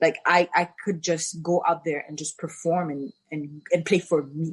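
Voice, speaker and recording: A woman speaks in a French accent with a fairly low, somewhat breathy voice, fairly even intonation, a fairly slow pace and big swings in loudness. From Haiti. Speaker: former tennis champion. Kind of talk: podcast interview.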